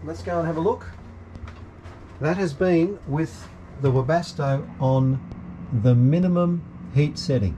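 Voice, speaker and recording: At a very slow pace with long, frequent pauses, a man speaks in a somewhat breathy, fairly high voice that swings very widely in pitch. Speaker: sailing vlogger. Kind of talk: casual demonstration vlog. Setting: aboard a sailing yacht. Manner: halting, many fillers; soft-spoken.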